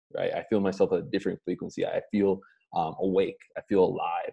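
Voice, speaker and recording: Speaking at a fairly quick pace, a man comes through in a dry, close sound with no echo. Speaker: motivational coach. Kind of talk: live stream motivational talk. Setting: livestream with chat. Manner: lower energy than usual.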